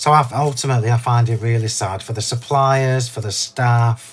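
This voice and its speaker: Amid noticeable background noise, a man with an English accent speaks at a medium pitch with fairly even intonation. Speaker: craft demonstrator. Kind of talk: live craft demo chat. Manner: casual, chatty.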